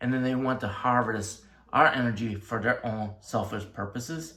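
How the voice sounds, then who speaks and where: A man's bright, sharp tone with audible room echo. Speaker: tarot reader and life coach. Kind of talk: tarot reading monologue.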